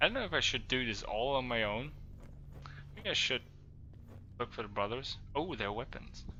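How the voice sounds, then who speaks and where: Speaking at a moderate pace, a man of medium pitch shows ordinary pitch variation and takes long, frequent pauses. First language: not English. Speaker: gaming streamer; part-time HR worker. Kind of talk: live gameplay commentary. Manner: halting, many fillers.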